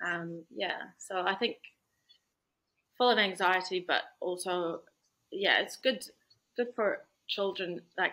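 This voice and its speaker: In a New Zealand accent, a woman speaks very slowly at a medium pitch with a bright, sharp tone, ordinary pitch variation and long, frequent pauses. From Iraq, Baghdad; New Zealand from age nine. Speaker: lawyer. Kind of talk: interview.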